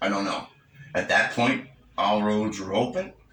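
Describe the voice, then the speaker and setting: A man with a fairly low pitch and lively intonation, against noticeable background noise. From Cape Breton, Nova Scotia, Canada. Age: 60s. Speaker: senior making a personal statement. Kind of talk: personal testimony. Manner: halting, with many fillers.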